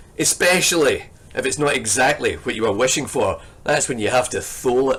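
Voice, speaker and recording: Fairly quick speech from a man in a Scottish accent. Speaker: poetry lecturer. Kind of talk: lecture with poetry reading.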